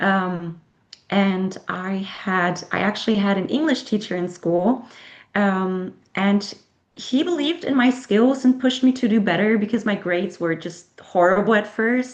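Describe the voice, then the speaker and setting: Speaking at a fairly slow pace, a woman with a German accent uses a medium pitch and ordinary pitch variation. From Germany. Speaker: author. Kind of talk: interview. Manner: halting.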